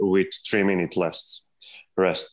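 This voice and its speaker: Over a quiet background, a man with a Serbian accent talks at a fairly slow pace and a fairly low pitch. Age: 20s. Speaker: calisthenics athlete. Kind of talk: interview. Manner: halting.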